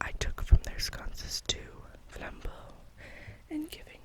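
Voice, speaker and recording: A fairly slow whisper comes through over noticeable background noise. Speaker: ASMR reader. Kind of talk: read story, bedtime. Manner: whispered.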